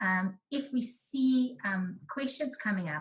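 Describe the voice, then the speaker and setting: Her pitch swings very widely as a woman talks in a high voice. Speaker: researcher presenting findings. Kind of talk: online presentation.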